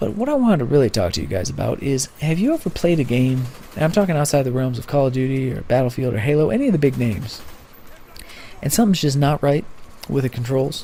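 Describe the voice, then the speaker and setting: A man at medium pitch talking at a very fast pace with lively intonation, noticeable background noise behind him. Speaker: gamer. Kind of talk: casual talk to camera, opinion piece.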